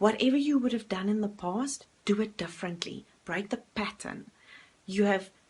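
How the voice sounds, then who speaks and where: A woman with a South African accent speaks at a moderate pace with ordinary pitch variation. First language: Afrikaans. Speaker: life coach. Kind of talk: motivational talk to camera. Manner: filler-heavy, some hesitation.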